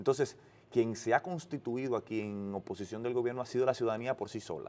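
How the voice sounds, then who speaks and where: A man speaks at a very fast pace. His pitch is medium, and the background is quiet. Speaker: political spokesperson. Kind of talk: interview. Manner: halting, frequent restarts.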